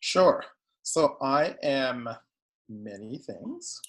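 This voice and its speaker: This is a man speaking. He has a Guyanese accent. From Guyana. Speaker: psychotherapist. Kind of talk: interview.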